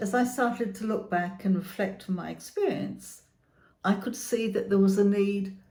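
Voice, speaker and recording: A woman's dark, mellow voice with vocal fry, at a moderate pace with ordinary pitch variation and audible room echo. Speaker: therapist and chronic illness channel host. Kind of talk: scripted channel introduction.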